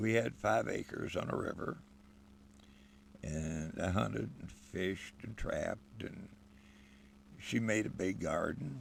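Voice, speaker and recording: With a relaxed tone and vocal fry, a man with a very deep, low pitch talks at a fairly slow pace, using lively intonation and long, frequent pauses. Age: 70s. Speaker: homesteader and channel host. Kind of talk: casual monologue. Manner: relaxed, folksy.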